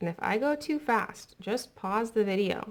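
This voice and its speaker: In a normal speaking voice, a woman talks at a fairly slow pace with lively intonation. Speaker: art teacher. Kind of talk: tutorial. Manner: casual, friendly.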